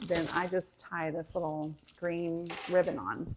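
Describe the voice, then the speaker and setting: This is a woman's voice. She has an American accent. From Michigan via Florida. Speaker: cooking channel host and teacher. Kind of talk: casual live stream chat. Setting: livestream at home.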